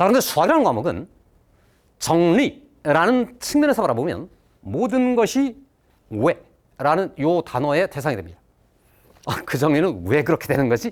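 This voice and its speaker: A man speaks in a high voice at a moderate pace, his pitch swinging very widely. Long pauses come often. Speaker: math teacher. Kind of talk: lecture.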